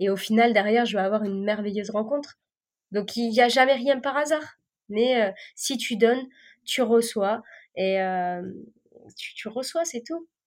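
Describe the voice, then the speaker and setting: A woman's fairly high voice at a fairly slow pace, with ordinary pitch variation, big swings in loudness and long, frequent pauses. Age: 30s. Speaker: chef. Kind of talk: casual chat.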